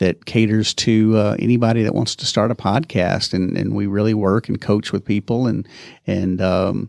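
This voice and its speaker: A man with an East Texas accent speaks at a fairly low pitch with fairly even intonation, in a dry, close sound with no echo and a quiet background. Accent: East Texas drawl. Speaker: podcast producer. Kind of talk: casual interview. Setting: in person, same room. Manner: halting, many fillers.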